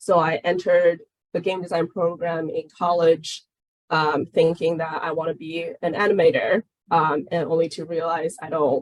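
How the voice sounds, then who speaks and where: Fairly low woman's voice at a moderate pace, dry and close with no echo. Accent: Chinese. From China. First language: Chinese. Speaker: game product manager. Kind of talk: webinar Q&A.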